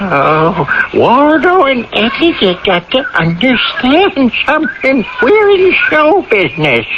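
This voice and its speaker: The speaker puts on a character voice at a fairly slow pace. There are hardly any pauses. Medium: old radio play. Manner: folksy, chuckling, ungrammatical.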